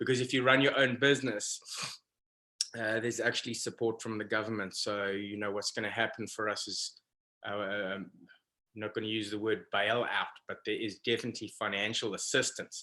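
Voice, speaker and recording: A man's medium-pitched, bright, sharp voice, flat and monotone, at a fairly quick pace. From South Africa. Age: 40s. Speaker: professional fishing guide. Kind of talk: casual interview.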